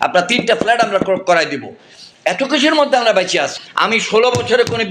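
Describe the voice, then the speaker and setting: A man's raised, projected voice at an extremely high pitch, over noticeable background noise. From Bangladesh. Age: 70s. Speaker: politician and retired army general; politician. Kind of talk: private phone conversation.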